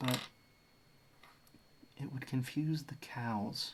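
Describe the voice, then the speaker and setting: A man speaks with an Australian accent. His pace is very slow. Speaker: streamer. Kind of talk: casual chat. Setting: live stream.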